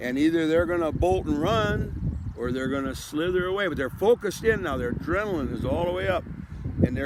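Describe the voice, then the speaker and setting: Very wide pitch swings from a man at a fairly quick pace, with audible room echo and noticeable background noise. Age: 70s. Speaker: vlogger with ALS. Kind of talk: casual monologue. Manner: halting, many repetitions.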